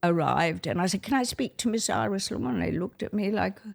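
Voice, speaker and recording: A woman speaks with vocal fry. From Australia. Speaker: retired ballet dancer. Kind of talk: interview. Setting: at a dining table. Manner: animated.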